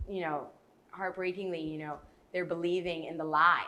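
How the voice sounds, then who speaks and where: Heard with audible room echo, a woman's bright, sharp voice sits at a fairly low pitch. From Bahamas. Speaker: youth speaker. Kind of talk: TV interview. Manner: animated.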